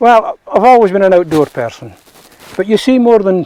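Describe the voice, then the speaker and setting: A man with a Scottish Borders accent and a dark, mellow tone speaks at a moderate pace, the sound dry and close with no echo. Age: 70s. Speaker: ferreter. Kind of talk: interview.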